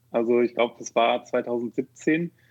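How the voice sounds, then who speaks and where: A man speaks at a very slow pace and medium pitch. His pitch variation is ordinary. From Rhineland, Germany (Neuss near Düsseldorf). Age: 30s. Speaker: software developer and founder. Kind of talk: podcast interview. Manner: hesitant, many fillers.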